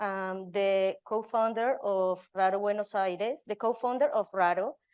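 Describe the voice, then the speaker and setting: A woman with a Spanish accent speaks at a moderate pace and medium pitch. Her intonation is fairly even over a quiet background. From Colombia. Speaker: residency program director. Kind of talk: panel talk. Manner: halting, with fillers.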